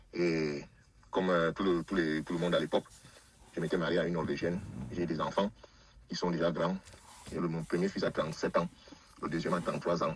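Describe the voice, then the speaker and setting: A man with a very deep, low voice talks at a fairly quick pace in a monotone, flat delivery, broken by long, frequent pauses. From Cameroon. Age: 60s. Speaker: caller telling his life story. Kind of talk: testimony. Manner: halting, many hesitations.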